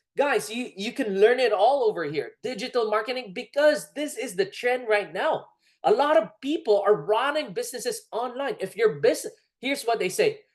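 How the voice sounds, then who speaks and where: In a Filipino accent, the speaker talks at a fairly quick pace with an animated tone. Pitch swings are very wide over a quiet background. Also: woman. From Philippines. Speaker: network marketing presenter. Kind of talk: sales pitch.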